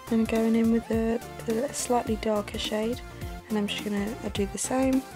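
Over clear background music, a woman speaks at a moderate pace in a flat, monotone delivery. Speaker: makeup tutorial vlogger. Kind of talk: casual makeup tutorial talk to camera. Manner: soft, half-whispered. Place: home room.

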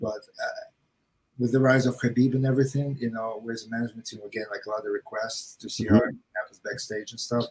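A man with a Russian accent speaks at a very fast pace in a medium pitch, somewhat breathy. His intonation is monotone and flat, while his loudness swings widely. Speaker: martial arts gym manager and coach; coach. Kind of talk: casual chat. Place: home room.

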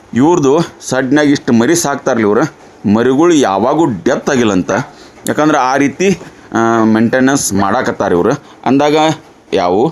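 Over noticeable background noise, a man with a North Karnataka accent speaks at a medium pitch with lively intonation. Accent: north Karnataka Kannada dialect. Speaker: farm video channel host. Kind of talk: on-site farm interview.

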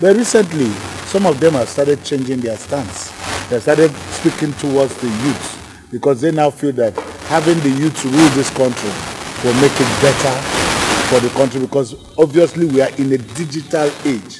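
There is noticeable background noise as a man speaks. His pace is moderate and his pitch variation ordinary. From Nigeria. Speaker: TV talk show host. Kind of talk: TV interview. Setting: on location outside the studio.

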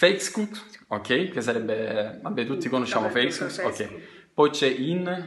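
Over noticeable background noise, a man talks at a fairly slow pace in a medium pitch with very wide pitch swings. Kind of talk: casual talk to camera.

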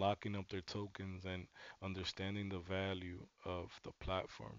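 A man with a fairly low pitch uses an ordinary speaking voice at a moderate pace, the sound dry with no echo. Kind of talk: commentary.

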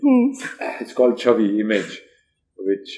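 With lively intonation and a dark, mellow tone, a man talks over a quiet background. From Haryana, India. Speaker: actor. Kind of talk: interview answer. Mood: relaxed, reflective, wry. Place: studio. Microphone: lapel.

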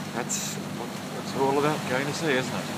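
A man's fairly quick speech over loud background noise. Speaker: sailor. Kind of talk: casual video diary to camera. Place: boat. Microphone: phone near.

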